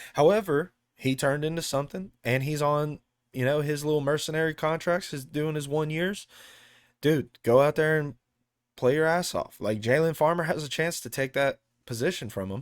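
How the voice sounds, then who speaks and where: An animated tone with ordinary pitch variation and an American accent comes at a moderate pace in a very clean recording with a silent background. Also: man, fairly high pitch for a man. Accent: sounds country, by own remark. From Texas. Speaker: sports channel host, football fan. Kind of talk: casual sports commentary monologue. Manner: casual, animated, filler-heavy.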